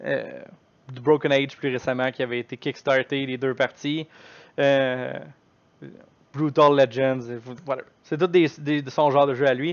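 This man's fairly high voice stays monotone and flat, moving at a fairly slow pace with long, frequent pauses. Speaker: gaming streamer. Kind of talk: live stream chat. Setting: live stream. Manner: loud.

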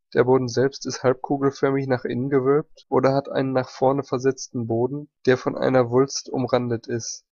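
In a dark, mellow tone, a man talks in a flat monotone at a medium pitch. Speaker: ammunition history narrator. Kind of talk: technical history narration.

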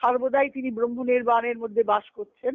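A woman with a fairly high pitch and fairly even intonation speaks at a fairly slow pace in a dry, close sound with no echo.

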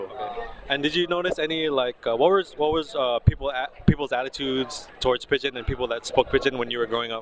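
A man with a medium-pitched voice talks at a very fast pace, barely pausing, with ordinary pitch variation. The sound is dry with no echo, though noticeable background noise comes through. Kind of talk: interviewer questions. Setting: outdoors. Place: street.

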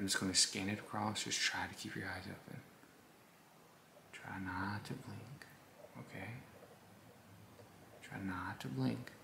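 A man whispers at a fairly slow pace. Long pauses come often. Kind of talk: ASMR role-play, soft spoken to viewer. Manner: soft, gentle ASMR doctor voice. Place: home room.

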